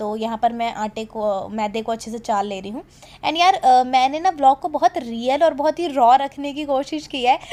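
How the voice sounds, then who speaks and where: Her loudness swings widely as a woman speaks at a moderate pace in a high pitch. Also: lively intonation. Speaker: vlogger. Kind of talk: voice-over narration.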